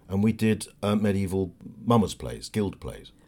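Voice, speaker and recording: A fairly low-pitched man with a southern English accent. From southern England, Berkshire. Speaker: actor. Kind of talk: casual chat.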